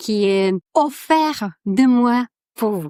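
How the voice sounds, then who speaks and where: The speaker has a strong Polish accent and lively intonation, heard in a dry, close sound with no echo. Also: woman, very clean recording, silent background. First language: Polish (speaking French). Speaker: podcast host, negotiation coach. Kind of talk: podcast monologue, telling a joke. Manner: halting, many repetitions and fillers.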